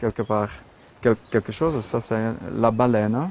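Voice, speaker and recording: A medium-pitched man with a Flemish accent. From Flanders, Belgium. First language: Dutch (Flemish) (speaking French). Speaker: sculptor. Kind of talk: casual studio tour explanation. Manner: halting, many hesitations and repetitions.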